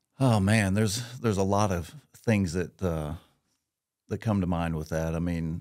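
Against a quiet background, a man with a Midwestern American accent speaks at a moderate pace. His very deep, low voice shows ordinary pitch variation. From Missouri, Marshfield; Missouri. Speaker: business executive; podcast guest. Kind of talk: casual interview. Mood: grateful, sincere. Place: studio. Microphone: studio mic.

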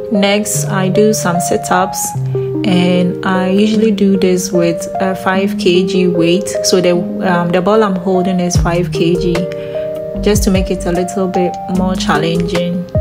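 With music in the background, a woman talks at a fairly slow pace and ordinary pitch variation. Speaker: fitness vlogger. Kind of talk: casual vlog narration.

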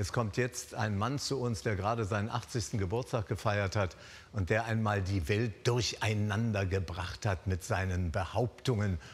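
A man speaks with a somewhat breathy voice at a fairly low pitch. His loudness stays very even. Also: ordinary pitch variation, moderate pace. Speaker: talk show host. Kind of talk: TV talk show introduction. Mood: warm, friendly. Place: stage. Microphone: lapel.

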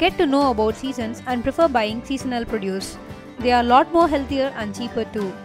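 A woman's high-pitched voice at a fairly quick pace, with music in the background. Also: ordinary pitch variation. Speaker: lifestyle blogger. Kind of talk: tips video narration.

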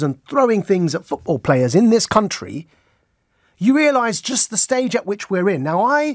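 Against a quiet background, a man speaks at a moderate pace with very wide pitch swings. The sound is dry with no echo. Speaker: radio show host. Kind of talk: radio monologue commentary. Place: studio. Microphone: studio mic.

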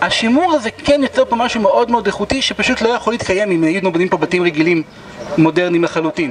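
A man talks at a very fast pace with lively intonation over noticeable background noise. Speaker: tour guide. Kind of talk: guided tour explanation. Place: street.

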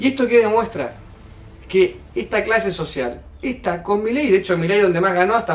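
Here a man speaks in a high pitch with lively intonation. Audible room echo surrounds his voice. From Argentina. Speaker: youtuber commenting on political clip. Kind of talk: video commentary. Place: home room.

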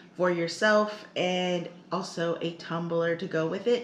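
In a room with audible echo and light background noise, a woman speaks at a fairly slow pace. Her pitch variation is ordinary. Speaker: vlogger. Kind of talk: casual vlog chat. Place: kitchen. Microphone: camera far.

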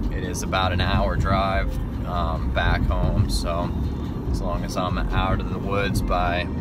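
A man speaks at a very slow pace over loud background noise. The sound itself is dry, with no echo. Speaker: hunting vlogger. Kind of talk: casual vlog chat. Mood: upbeat, hopeful. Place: car. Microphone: phone near.

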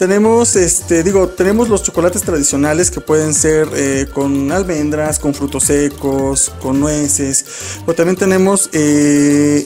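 Faint music plays behind a man as he talks. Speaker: interviewee. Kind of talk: interview answer. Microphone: handheld.

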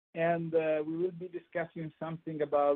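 A man with an Italian accent. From Italy, Emilia-Romagna. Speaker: microbiology professor. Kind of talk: lecture. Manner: halting.

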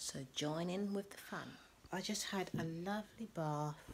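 A soft-spoken, somewhat breathy woman's voice with ordinary pitch variation over light background noise. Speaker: lifestyle vlogger. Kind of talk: casual vlog chat. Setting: at home. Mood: relaxed, chatty. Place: home room.

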